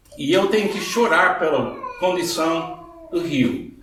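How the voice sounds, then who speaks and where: Audible room echo and noticeable background noise surround a voice with ordinary pitch variation. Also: man. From Scottish and Irish background. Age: 70s. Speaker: pastor. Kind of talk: sermon. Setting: church.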